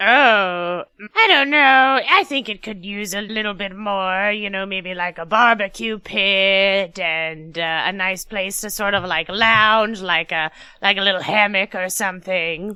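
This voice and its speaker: Using a put-on character voice, a woman speaks at a medium pitch and fairly slow pace against a quiet background. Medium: actual play. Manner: rambling, hesitant, filler-heavy.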